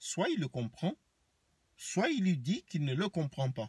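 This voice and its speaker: A man talks at a very slow pace with very wide pitch swings and a somewhat breathy voice, recorded with a dry, close sound and no echo. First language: Banen (speaking French). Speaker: vlogger. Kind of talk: rant to camera. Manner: animated.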